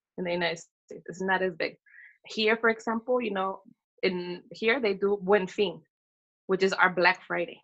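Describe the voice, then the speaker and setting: The speaker has an American accent and talks at a moderate pace. The intonation stays fairly even. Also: woman, medium pitch for a woman. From Northern California. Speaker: small business owner. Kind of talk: casual interview. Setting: remote call from Mexico.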